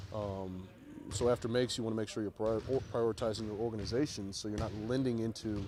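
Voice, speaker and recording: A man mumbling at a fairly quick pace, medium in pitch and monotone and flat, with music in the background. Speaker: NBA head coach. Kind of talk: press conference. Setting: media availability after practice. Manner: halting, many fillers.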